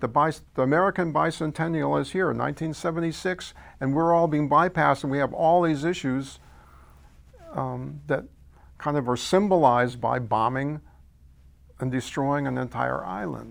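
A man with a fairly high pitch speaks at a moderate pace, with ordinary pitch variation. His speech has long, frequent pauses. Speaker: investigative reporter. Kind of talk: oral history interview.

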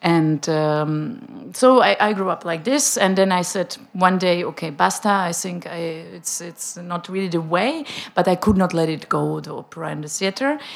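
In a Czech accent, a woman with a fairly low pitch speaks at a moderate pace, her lively intonation paired with big swings in loudness. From Czech Republic, Prague. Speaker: opera director. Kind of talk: panel discussion.

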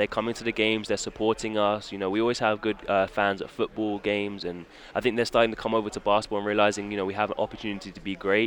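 Talking at a very fast pace, a man with a medium pitch speaks in a British accent. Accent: British English, noticeable. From England. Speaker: college basketball guard. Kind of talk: casual interview.

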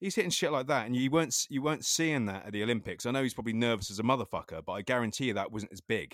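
With an English accent, a man talks at a very fast pace with hardly any pauses and lively intonation in a very clean recording with a silent background. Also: medium pitch for a man. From England. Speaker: skateboarding podcast host. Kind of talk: casual chat.

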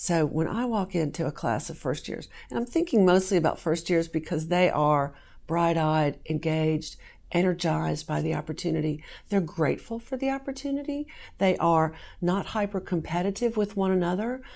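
An unremarkable speaking voice from a woman, fairly low in pitch with lively intonation, at a moderate pace on a very clean recording with a silent background. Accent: American. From US South, southern Virginia. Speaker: law professor. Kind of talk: interview.

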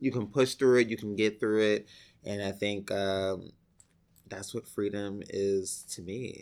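In an American accent, a man speaks at a fairly low pitch and a fairly slow pace, with flat, monotone intonation. His loudness swings widely on a very clean recording with a silent background. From New York City, the Bronx. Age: 30s. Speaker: actor. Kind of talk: oral history interview. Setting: library office.

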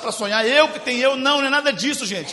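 A man with a Minas Gerais accent in a raised, projected voice, animated tone, very fast pace, ordinary pitch variation, noticeable background noise. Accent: Brazilian Portuguese, Minas Gerais (mineiro). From Brazil, Belo Horizonte (Minas Gerais). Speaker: guest preacher. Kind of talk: sermon.

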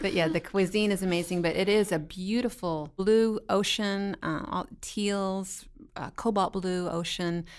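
A woman speaks in a normal speaking voice at medium pitch and a fairly slow pace, with fairly even intonation. The recording is very clean with a silent background. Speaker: missionary at hospital.

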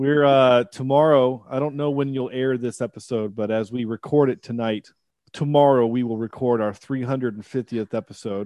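At a moderate pace, a man talks with fairly even intonation and a medium pitch. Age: 30s. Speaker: podcast guest, movie review podcaster. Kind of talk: casual chat. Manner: halting, repeats words.

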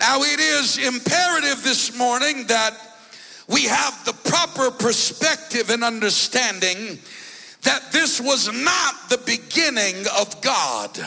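Against noticeable background noise, a man in a raised, projected voice speaks at a very slow pace with an extremely high pitch and lively intonation. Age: 40s. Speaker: bishop and preacher. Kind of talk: Pentecostal sermon, scripture exposition building toward call-and-response. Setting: church service with congregation. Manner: rhythmic, punctuated by frequent 'uh' breath-beats between phrases; emphatic and rising, declamatory intensity.

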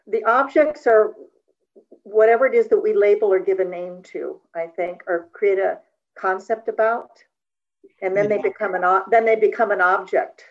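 With a plain, everyday voice, a woman talks at a moderate pace and with ordinary pitch variation. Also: fairly high pitch for a woman. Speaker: study group participant. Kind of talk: reading aloud and discussion.

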